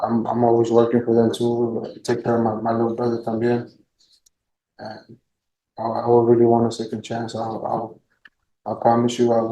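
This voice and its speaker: Long, frequent pauses break up a dark, mellow tone. The intonation is monotone and flat at a moderate pace. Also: man, medium pitch for a man. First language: Spanish. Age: 20s. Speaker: defendant. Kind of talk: courtroom plea. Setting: courtroom. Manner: halting.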